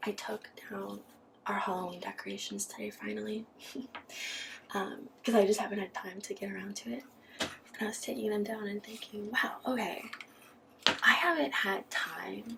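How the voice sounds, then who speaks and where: Soft-spoken whispering moves at a moderate pace with long, frequent pauses over noticeable background noise. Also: woman. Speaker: ASMR creator. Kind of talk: casual talk to camera. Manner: whispered, soft-spoken.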